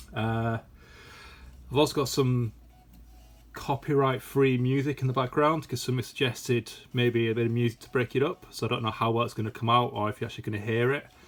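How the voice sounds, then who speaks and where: With a British accent, a man talks in a monotone, flat intonation, leaving long, frequent pauses. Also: medium pitch for a man. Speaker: toy collector YouTuber. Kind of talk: casual unboxing video. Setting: at home. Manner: hesitant, many fillers.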